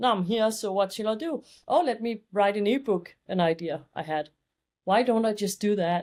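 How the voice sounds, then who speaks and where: A woman with a Danish accent talks at medium pitch with lively intonation in a very clean recording with a silent background. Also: moderate pace. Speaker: fashion and beauty photographer. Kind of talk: podcast interview.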